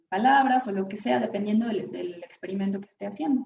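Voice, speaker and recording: Her voice is an unremarkable speaking voice, as this woman talks at a fairly high pitch with lively intonation. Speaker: neuroscience researcher giving a conference talk. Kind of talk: lecture.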